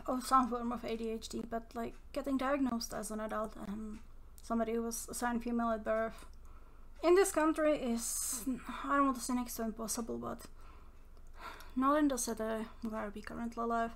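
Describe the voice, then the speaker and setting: Mumbling with long, frequent pauses, a woman with a non-native accent talks at a fairly high pitch with ordinary pitch variation, and audible room echo surrounds her. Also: fairly quick pace. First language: not English. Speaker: mental health vlogger. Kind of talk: casual monologue. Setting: home recording. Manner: rambling, halting.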